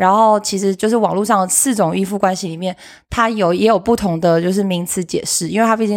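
A woman at a very fast pace, medium in pitch, with fairly even intonation and a very clean recording with a silent background. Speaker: podcast co-host, relationship advice segment; teacher. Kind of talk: casual chat.

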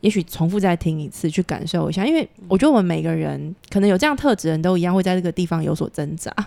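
Very fast and with hardly any pauses, a woman speaks in a fairly low pitch. Her tone is dark and mellow, with ordinary pitch variation. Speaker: podcast host. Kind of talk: interview.

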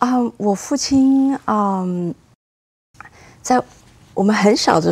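At a very slow pace, a woman speaks with lively intonation and a medium pitch. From Taiwan. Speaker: cellist. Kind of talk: interview.

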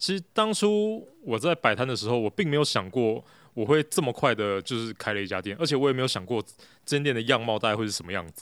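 On a very clean recording with a silent background, a man talks very fast with lively intonation. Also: medium pitch for a man. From Taiwan, Taipei. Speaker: café owner, former engineer. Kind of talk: casual interview chat. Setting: in his café. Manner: hesitant, many fillers.

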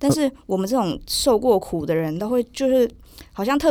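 A woman with lively intonation in a very clean recording, silent background. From southern Taiwan. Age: 20s. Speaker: podcast guest. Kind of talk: casual interview. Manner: fast.

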